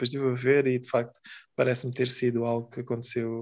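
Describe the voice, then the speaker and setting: Against a quiet background, a man with a European Portuguese accent speaks very fast at a medium pitch. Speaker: podcast co-host. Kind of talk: casual chat.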